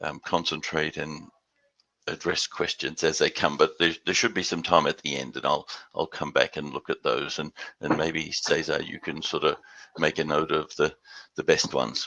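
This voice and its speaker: In an Australian accent, a man speaks at a moderate pace, recorded dry and close with no echo. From Western Australia and Houston. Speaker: business development executive. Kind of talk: business presentation. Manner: hesitant, many repeated words.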